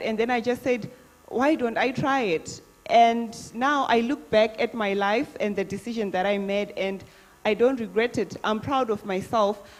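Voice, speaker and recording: Over music in the background, a woman talks at a moderate pace. Her pitch is fairly high, with ordinary variation. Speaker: beauty pageant contestant. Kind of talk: live Q&A answer. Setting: live chat event.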